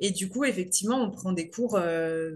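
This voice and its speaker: At a fairly slow pace, a woman speaks with a medium pitch and a somewhat breathy voice, showing ordinary pitch variation. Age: 30s. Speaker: amateur pole dancer. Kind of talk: casual interview. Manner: halting, many hesitations.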